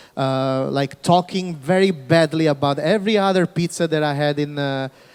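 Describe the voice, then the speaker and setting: This man has a fairly high pitch. He speaks with a Neapolitan accent. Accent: Neapolitan Italian. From Naples, southern Italy. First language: Italian. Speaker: pizza chef, panelist. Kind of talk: panel discussion.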